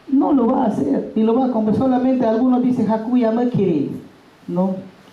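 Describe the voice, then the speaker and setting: Audible room echo surrounds a woman as she speaks, her pitch varying in an ordinary way. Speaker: bilingual education teacher. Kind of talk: workshop talk. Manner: loud, emphatic.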